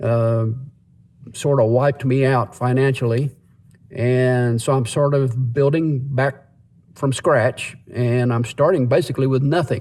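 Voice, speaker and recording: A man has an ordinary speaking voice at medium pitch, with fairly even intonation and very even loudness. He talks at a fairly slow pace. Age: 60s. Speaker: vlogger. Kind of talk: casual monologue. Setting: in a parked car.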